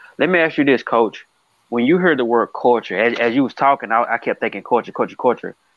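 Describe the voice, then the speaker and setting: Speaking very fast in a medium pitch, a man talks with an American accent. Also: ordinary pitch variation. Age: 30s. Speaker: podcast host. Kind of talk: interview. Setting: remote call. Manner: animated; halting.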